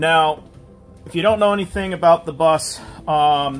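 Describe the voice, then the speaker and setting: A man at a fairly slow pace, with faint music in the background. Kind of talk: tutorial. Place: bus. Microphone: phone near.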